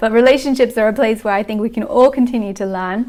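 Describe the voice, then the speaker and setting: A woman's fairly high voice at a very fast pace. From Austria and Italy. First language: not English. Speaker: personal growth educator. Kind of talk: workshop talk. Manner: occasional halting.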